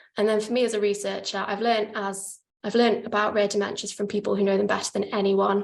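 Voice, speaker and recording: The speech races along at a very fast pace. Its intonation stays monotone and flat. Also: woman, medium pitch for a woman. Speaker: PhD researcher presenting her study. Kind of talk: academic conference presentation. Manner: fast, hurrying to finish.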